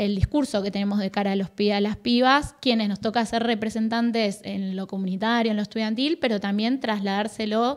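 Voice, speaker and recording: Fairly quick delivery with fairly even intonation, on a very clean recording with a silent background. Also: woman. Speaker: youth policy official. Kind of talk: interview. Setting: studio.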